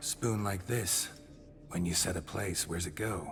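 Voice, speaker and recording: The speaker uses a put-on character voice. Background noise is clear. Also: man, very deep, low pitch for a man, moderate pace. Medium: video game. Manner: curt, deadpan.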